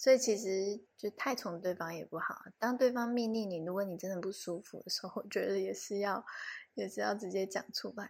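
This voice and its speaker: A woman speaks at medium pitch in a relaxed tone with ordinary pitch variation. Her pace is fairly quick, and the recording is very clean with a silent background. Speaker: podcast co-host. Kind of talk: casual chat. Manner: relaxed, sleepy.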